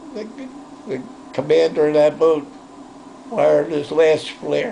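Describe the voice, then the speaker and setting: A man's fairly high voice at a very slow pace, with noticeable background noise. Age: 80s+. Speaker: war veteran. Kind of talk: interview answer.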